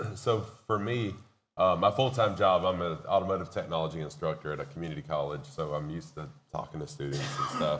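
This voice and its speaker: A man with a very deep, low pitch talks at a very fast pace with very wide pitch swings. Room echo is audible. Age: 50s. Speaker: community college instructor and streamer. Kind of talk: panel discussion. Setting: stage with audience at expo.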